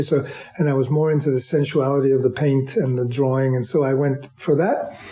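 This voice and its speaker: A man talks with a New York accent. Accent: New York American. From US, New York. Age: 70s. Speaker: artist and musician. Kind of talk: interview. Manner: halting, many repeated words.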